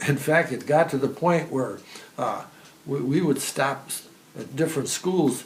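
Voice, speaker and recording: A man speaks in a somewhat breathy, fairly high voice at a fairly slow pace. His intonation is fairly even, broken by long, frequent pauses. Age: 80s+. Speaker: centenarian storyteller. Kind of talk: life story interview.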